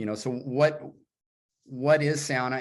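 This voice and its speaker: This is a man with a medium pitch. The background is quiet. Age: 60s. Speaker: sauna builder and writer. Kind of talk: casual chat.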